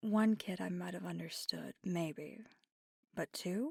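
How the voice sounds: In a slow, put-on character voice, a woman speaks at a fairly low pitch with a dark, mellow tone, a slightly husky edge and vocal fry, in a dry, close sound with no echo on a very clean recording with a silent background. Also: ordinary pitch variation.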